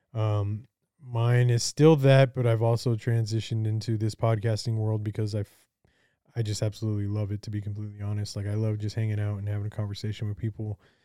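A man talks at a very fast pace in a fairly low pitch. His tone is dark and mellow, and his intonation is monotone and flat. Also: very clean recording, silent background. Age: 30s. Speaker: podcast host. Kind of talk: casual chat.

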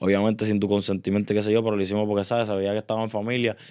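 The intonation stays monotone and flat. The speaker is a man. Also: quiet background. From Puerto Rico, Río Grande. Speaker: urban music artist. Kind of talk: casual interview chat. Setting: studio.

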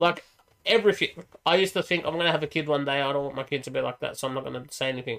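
Speaking at a very fast pace with an Australian accent, a man uses a fairly high pitch and ordinary pitch variation. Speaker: podcast co-host. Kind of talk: casual chat. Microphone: echoing, sounds distant.

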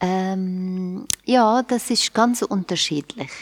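In a dry, close sound with no echo, the speaker talks at a very slow pace with an Arabic accent and ordinary pitch variation. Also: woman. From Syria, Aleppo. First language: Arabic (speaking German). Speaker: church worker. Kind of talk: casual conversation. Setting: remote recording.

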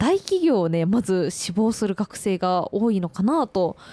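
The sound is dry and close with no echo, carrying a woman's dark, mellow, medium-pitched voice. She talks at a fairly slow pace with lively intonation. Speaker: student radio host. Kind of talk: radio interview. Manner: formal.

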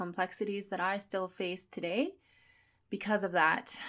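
Heard on a very clean recording with a silent background, a woman speaks at medium pitch. Hers is an unremarkable speaking voice with fairly even intonation. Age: 30s. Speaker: podcast host and personal trainer. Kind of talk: personal monologue.

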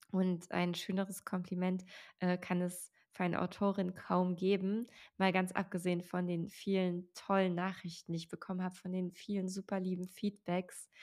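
A woman talks in a flat, monotone way at a medium pitch. Her recording is very clean, set against a silent background. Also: moderate pace. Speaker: podcast host and author. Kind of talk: solo podcast monologue.

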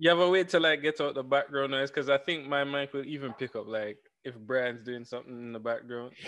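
A man talks at a very fast pace with hardly any pauses, in a Jamaican accent. His pitch is fairly high, and his loudness swings widely. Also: ordinary pitch variation. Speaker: podcast co-host. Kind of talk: casual chat. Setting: video call. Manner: clipped words, eats words.

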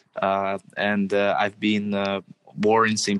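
Here a man speaks with a Russian accent. His pitch sits fairly low. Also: dry, close sound with no echo. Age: 20s. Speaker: social media marketing entrepreneur. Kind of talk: interview.

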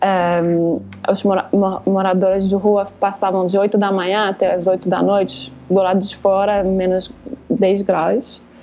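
A woman speaks at a medium pitch with a French accent. Her intonation stays fairly even. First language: French (speaking Portuguese). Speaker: social worker. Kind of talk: casual chat. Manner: halting, searching for words.

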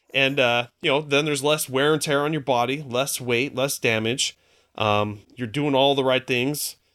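A man with a normal speaking voice talks at a moderate pace, his pitch medium and his intonation fairly even. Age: 40s. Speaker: personal trainer and fitness podcaster. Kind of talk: casual interview chat.

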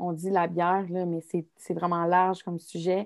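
A woman with a fairly low pitch speaks at a very slow pace in a flat monotone, the sound dry and close with no echo. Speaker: student podcast host. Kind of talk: casual interview.

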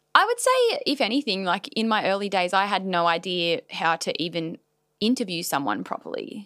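A woman with an Australian accent and lively intonation. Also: medium pitch for a woman, moderate pace. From Australia, Newcastle NSW. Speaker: business owner and content creator. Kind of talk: casual chat. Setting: studio.

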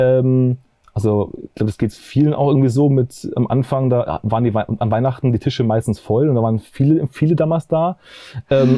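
His pace is moderate. The man speaks at a medium pitch. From Bavaria, near Munich. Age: 30s. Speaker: documentary filmmaker. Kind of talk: interview. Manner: halting, many fillers.

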